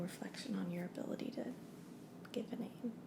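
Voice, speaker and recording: A woman speaks in a soft-spoken way at a moderate pace. Her intonation is fairly even. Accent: American. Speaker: name consultant character. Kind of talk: ASMR roleplay.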